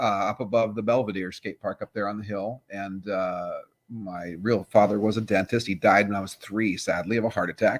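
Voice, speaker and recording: In a very clean recording with a silent background, a man speaks at a moderate pace and a fairly low pitch, his intonation monotone and flat, the sound dry and close with no echo. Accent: American. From Southern California (LA, Orange County). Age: 60s. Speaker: veteran pro skateboarder and skateboard manufacturer. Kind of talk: casual interview chat.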